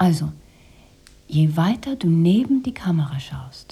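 Putting on a character voice, a woman speaks fairly slowly in a low register with a dark, mellow tone, vocal fry, a husky, rough edge and big pitch swings.

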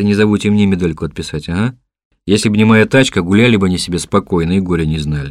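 In a natural reading voice with ordinary pitch variation, the speaker is heard against a quiet background.

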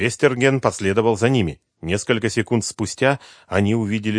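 A quiet background behind natural-voiced reading aloud with ordinary pitch variation

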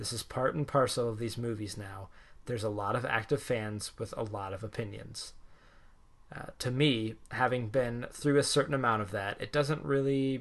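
Over a quiet background, a man with medium pitch talks at a moderate pace in an unremarkable speaking voice. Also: ordinary pitch variation. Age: 20s. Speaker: comics podcast host. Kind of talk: casual chat.

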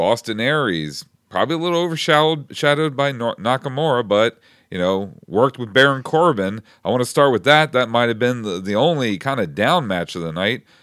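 A man talks in a plain, everyday voice at a fairly quick pace with lively intonation. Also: medium pitch for a man. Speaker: wrestling podcast host. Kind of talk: casual roundtable discussion. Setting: studio, live online stream.

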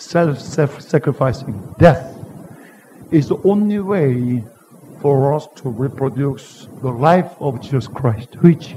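Noticeable background noise surrounds a man speaking with a Korean accent. His voice is fairly high, with ordinary pitch variation and a very slow pace. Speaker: pastor. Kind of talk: sermon. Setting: church. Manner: animated.

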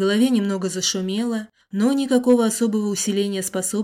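The reading voice here is unforced.

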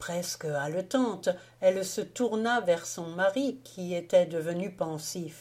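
Someone reads aloud in a plain manner, and the intonation is lively.

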